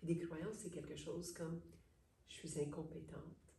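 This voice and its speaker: There is audible room echo as a woman speaks at a fairly low pitch. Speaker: psychologist / therapist. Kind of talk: interview.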